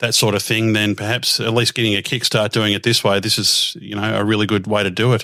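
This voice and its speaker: With an Australian accent, a man speaks at a very fast pace in a fairly low pitch with a bright, sharp tone, on a very clean recording with a silent background. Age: 50s. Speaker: radio host. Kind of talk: interview. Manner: hesitant with many fillers.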